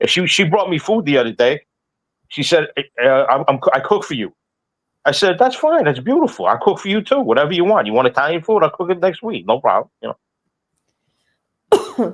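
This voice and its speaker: In a dry, close recording with no echo, a man with a high voice speaks fairly quickly, his pitch swinging very widely, with long pauses that come often. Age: 60s. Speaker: talk show guest. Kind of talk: casual chat. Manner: halting, repetitive.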